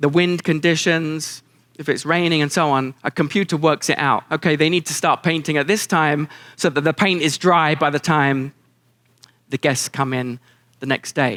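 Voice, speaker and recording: A man with a British accent, fairly high in pitch and bright, sharp in tone, at a moderate pace with fairly even intonation, in a dry, close, very clean recording with a silent background. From England. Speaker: keynote speaker. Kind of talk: keynote speech to live audience. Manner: warm, down-to-earth, dry humor.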